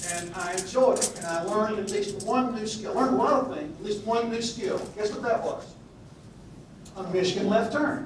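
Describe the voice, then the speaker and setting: Someone with a Southern US accent talks at a moderate pace, using ordinary pitch variation. Noticeable background noise and audible room echo come through. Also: man, high pitch for a man. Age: old. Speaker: Old Testament scholar, retired minister. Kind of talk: lecture. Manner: halting, many fillers.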